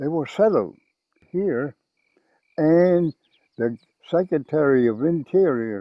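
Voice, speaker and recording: A man with an American accent, fairly high in pitch, with lively intonation at a very slow pace. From Crow reservation, Montana. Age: 90s. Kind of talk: documentary interview. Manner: halting.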